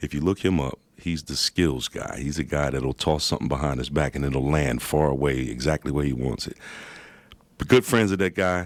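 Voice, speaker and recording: A man's very deep, low voice with vocal fry, ordinary pitch variation and a moderate pace, in a dry, close sound with no echo. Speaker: rapper and visual artist. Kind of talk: radio interview answer.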